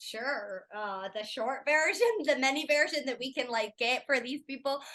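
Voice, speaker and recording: A woman speaks in a raised, projected voice at a high pitch with a bright, sharp tone. Her intonation is lively and her pace moderate. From Scotland, Edinburgh. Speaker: life coach and former lawyer. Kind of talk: podcast interview.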